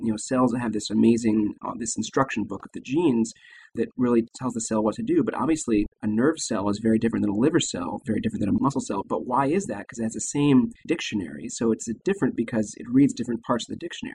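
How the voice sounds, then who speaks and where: Speech comes very fast with an American accent. The background is quiet. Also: man. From Texas, San Antonio. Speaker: leukemia physician and researcher. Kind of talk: interview explaining medicine.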